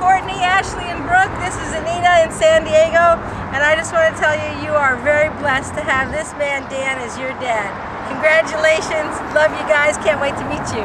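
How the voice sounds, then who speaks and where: Over loud background noise, a woman talks at a moderate pace in a dry sound with no echo. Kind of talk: casual greeting message to camera. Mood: cheerful, playful. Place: open country.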